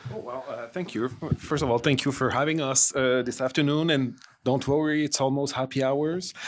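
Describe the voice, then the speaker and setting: A man with a Quebec French accent, fairly high pitch, fairly even intonation and a moderate pace. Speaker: harm reduction worker. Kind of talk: panel discussion.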